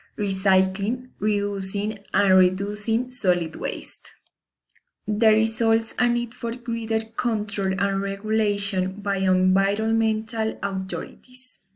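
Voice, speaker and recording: In a Spanish accent, a woman speaks fairly slowly at a medium pitch, somewhat breathy and monotone, with flat intonation and big swings in loudness. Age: 20s. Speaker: university student. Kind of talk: class assignment presentation. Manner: formal.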